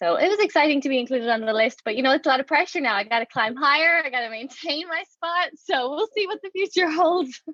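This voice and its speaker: With an Irish accent, a woman talks very fast at a high pitch, her intonation lively, hardly pausing, in a dry, close recording with no echo. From Ireland, Waterford (southeast). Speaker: education researcher, professor. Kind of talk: interview. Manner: conversational with fillers.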